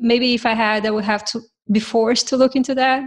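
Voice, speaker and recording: A fairly high-pitched woman speaks in a monotone, flat way with a non-native accent. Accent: foreign-accented English. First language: not English. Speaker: software developer, podcast co-host. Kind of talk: casual tech panel chat.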